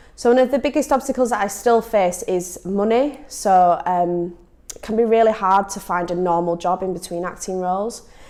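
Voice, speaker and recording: Speaking at a moderate pace with a Leeds accent, a woman has a medium pitch, a dark, mellow tone, and ordinary pitch variation. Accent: northern English, Leeds. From northern England, Leeds. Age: 20s. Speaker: actor. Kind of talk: personal testimony to camera. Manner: hesitant, frequent ums.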